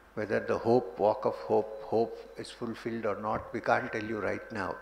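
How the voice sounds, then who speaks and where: Amid noticeable background noise, the talking proceeds at a moderate pace. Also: man. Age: 60s. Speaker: spiritual teacher. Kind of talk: spiritual talk.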